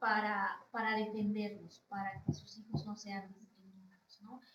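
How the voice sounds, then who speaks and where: A woman's fairly high voice with a Yucatán accent, at a fairly slow pace with big swings in loudness. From Yucatán, Mexico (Chumayel). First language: Yucatec Maya (speaking Spanish). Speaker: Maya rights advocate, professional. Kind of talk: interview conversation.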